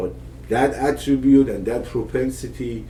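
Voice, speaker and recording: In a room with audible echo, a man speaks with an Iranian accent. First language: Persian. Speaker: father of the podcast host. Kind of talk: casual conversation. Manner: hesitant, many fillers and restarts.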